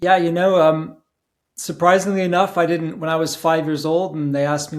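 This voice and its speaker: A man with a British accent talks fairly quickly. His pitch is fairly high and his intonation fairly even. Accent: British accent, solid. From England. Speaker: conference organizer. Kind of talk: casual interview.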